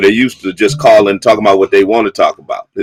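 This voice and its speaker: A man speaks at medium pitch with music in the background. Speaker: bishop and radio/live show host. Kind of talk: live call-in radio talk show. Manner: emphatic, firmly interrupting a caller.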